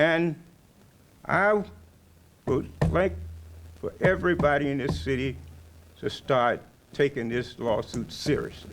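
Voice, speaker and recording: With long, frequent pauses, a man speaks fairly slowly in a fairly high pitch, his voice swinging very widely in pitch and showing vocal fry. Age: 70s. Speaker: retired police officer. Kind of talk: ceremony speech.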